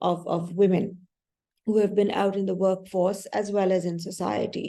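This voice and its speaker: This woman's voice has a dark, mellow tone and monotone, flat intonation. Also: medium pitch for a woman, moderate pace. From Pakistan. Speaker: development practitioner. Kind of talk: panel discussion. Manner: hesitant, many fillers.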